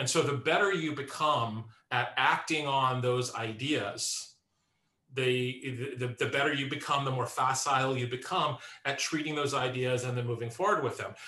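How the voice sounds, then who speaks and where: With audible room echo, a man talks at a moderate pace in a medium pitch with fairly even intonation. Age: 50s. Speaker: composer and musician. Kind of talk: interview conversation.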